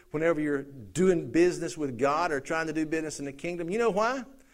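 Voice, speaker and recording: With audible room echo around him, a man speaks in a high voice with a Southern US accent and lively intonation. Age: 50s. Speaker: pastor. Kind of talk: sermon. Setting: church.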